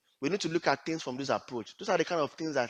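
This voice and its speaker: A man speaks with a Nigerian accent in a bright, sharp tone. The background is quiet. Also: dry, close sound with no echo. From Nigeria (Yoruba). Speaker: HR / talent acquisition professional and leadership coach. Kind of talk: career advice talk.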